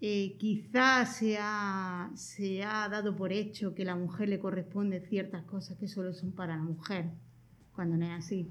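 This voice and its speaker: A woman talks fairly slowly, and the room's echo is audible. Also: medium pitch for a woman, fairly even intonation. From Andalusia. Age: 40s. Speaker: community social worker. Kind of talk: interview.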